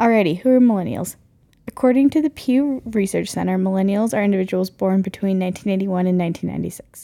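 Speaking at a very fast pace, a woman uses lively intonation with an American accent. Her tone is dark and mellow, at a medium pitch. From North Carolina. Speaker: podcast co-host. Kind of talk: casual chat.

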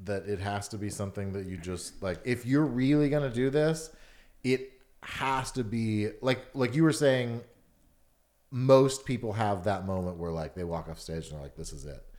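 Recorded very cleanly against a silent background, a man with an American accent and an ordinary speaking voice talks at a moderate pace and medium pitch, using lively intonation and big swings in loudness. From Atlanta, US South. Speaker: stand-up comedian. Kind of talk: casual chat.

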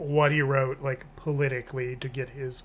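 Reading aloud, plainly

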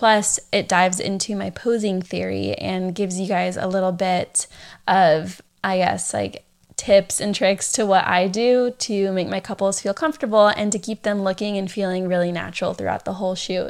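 Speaking at a moderate pace in a Californian accent, a woman with a medium pitch keeps her intonation fairly even on a very clean recording with a silent background. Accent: Californian American English. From San Diego, California. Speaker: podcast host and wedding photographer. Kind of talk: casual solo podcast talk.

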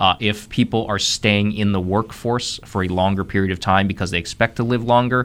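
A man talks in a fairly low pitch with an American accent. His intonation is flat and monotone. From US Midwest, Columbus, Ohio. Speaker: economic development executive. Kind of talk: radio interview.

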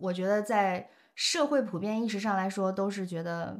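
A woman talks at a moderate pace. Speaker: podcast host. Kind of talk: casual chat. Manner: animated.

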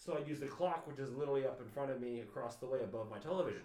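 A man's fairly high voice at a very fast pace, with ordinary pitch variation and audible room echo. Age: 30s. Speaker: podcast co-host. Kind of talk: casual chat. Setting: at home.

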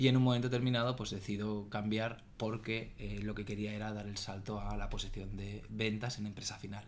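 Fairly quick, monotone, flat delivery with hardly any pauses and audible room echo. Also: man, fairly low pitch for a man. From Spain, Barcelona. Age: 30s. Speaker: sales executive. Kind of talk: casual chat.

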